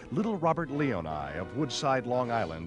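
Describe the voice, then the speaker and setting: A man's dramatic tone at a medium pitch and moderate pace. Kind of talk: 1930s newsreel narration. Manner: dramatic, urgent.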